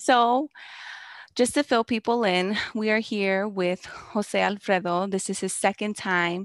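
This woman has an American accent and a medium pitch with ordinary pitch variation. She speaks at a fairly slow pace in a dry, close sound with no echo. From Chicago. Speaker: podcast host. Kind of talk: casual chat. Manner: animated.

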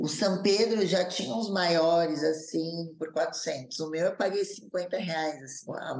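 The woman speaks at a very deep, low pitch. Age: 30s. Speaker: influencer, former reality show contestant and TV dancer. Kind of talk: casual interview, personal testimony.

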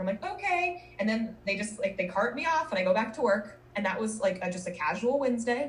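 Over noticeable background noise, a woman with an American accent speaks at a fairly high pitch with very wide pitch swings and hardly any pauses. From Minnesota and Colorado. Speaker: marketing professional, podcaster. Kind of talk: casual interview chat.

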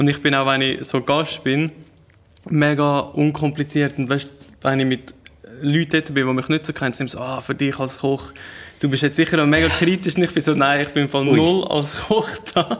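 Speaking with a Glarus Swiss accent, a man keeps a moderate pace at a fairly high pitch. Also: fairly even intonation. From Switzerland, canton Glarus. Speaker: chef and food content creator. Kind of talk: casual chat.

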